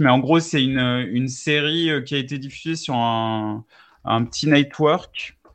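The man's pitch is medium, with ordinary variation. He talks at a very slow pace. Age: 40s. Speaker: video game enthusiast. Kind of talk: casual chat.

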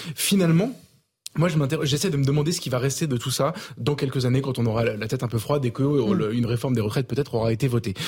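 Somewhat breathy and at a medium pitch, a man talks very fast with ordinary pitch variation. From Avignon, southern France. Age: 30s. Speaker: journalist. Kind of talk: televised panel debate. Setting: TV studio. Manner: halting, many hesitations.

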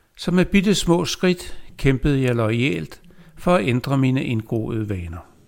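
A man's voice at a very slow pace, full of very wide pitch swings. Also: medium pitch for a man. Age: 70s. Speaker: poet. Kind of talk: reading aloud.

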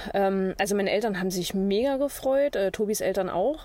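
A woman at medium pitch, with ordinary pitch variation, a moderate pace and noticeable background noise. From Saxony-Anhalt, near Magdeburg. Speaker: traveler living in a camper. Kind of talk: casual interview.

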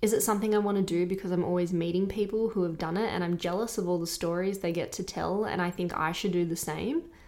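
A woman's very fast speech with hardly any pauses, medium pitch, very even loudness and fairly even intonation. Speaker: podcast host. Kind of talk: scripted narration and interview. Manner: conversational, blunt.

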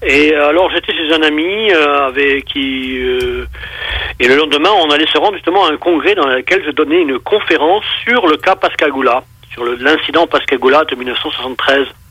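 Moderate-paced speech from a man, fairly high in pitch and with ordinary pitch variation, amid noticeable background noise. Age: 60s. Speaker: UFO witness and researcher. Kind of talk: casual interview. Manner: hesitant, repeats words.

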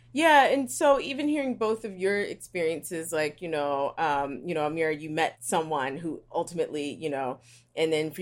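In a plain, everyday voice, a woman talks at a fairly quick pace and fairly low pitch with lively intonation and hardly any pauses, on a very clean recording with a silent background. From West Philadelphia. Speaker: media creator. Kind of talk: casual interview.

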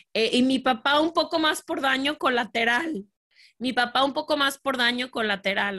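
A woman speaks at a fairly slow pace in a Guadalajara accent, with ordinary pitch variation. Her tone is bright and sharp, over a quiet background. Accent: Mexican Spanish (Guadalajara). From Mexico, Guadalajara. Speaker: podcaster, former photographer. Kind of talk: interview conversation.

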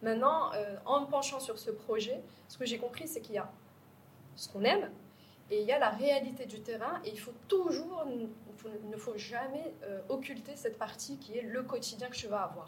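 Long, frequent pauses from a woman at a high pitch, with ordinary pitch variation and big swings in loudness, plus noticeable background noise and audible room echo. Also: moderate pace. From Morocco, Casablanca. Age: 30s. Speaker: startup co-founder. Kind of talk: interview.

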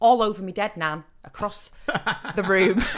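This woman has a northern English accent and a fairly high pitch. She speaks at a moderate pace. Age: 30s. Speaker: actor and comedy writer. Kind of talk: casual chat.

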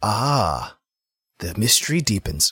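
A put-on character voice with a bright, sharp tone and a husky, rough edge moves at a slow pace with big pitch swings. The recording is very clean, with a silent background. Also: man, fairly low pitch for a man.

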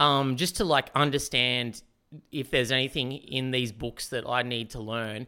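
Bright, sharp male voice at medium pitch and moderate pace in a very clean recording with a silent background. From Newcastle, Australia. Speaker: comedian and musician. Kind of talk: casual chat.

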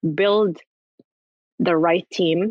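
A woman is speaking. Her pitch sits fairly low. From Morocco, raised in Paris and the US. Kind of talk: interview.

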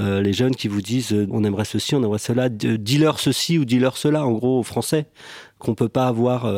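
At a moderate pace, a man speaks in an ordinary speaking voice of medium pitch, with ordinary pitch variation and very even loudness. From western Algeria. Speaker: film director. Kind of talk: casual chat.

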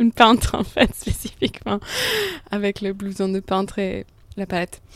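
Medium pitch from a woman, captured on a very clean recording against a silent background. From international upbringing, Italian family. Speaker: painter. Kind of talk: interview. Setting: artist studio. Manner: hesitant.

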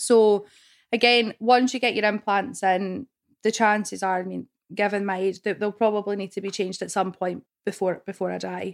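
A woman speaks with a Scottish accent at a medium pitch and fairly even intonation. The recording is very clean, with a silent background. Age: 20s. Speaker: woman with cancer gene sharing her experience. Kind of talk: interview testimony.

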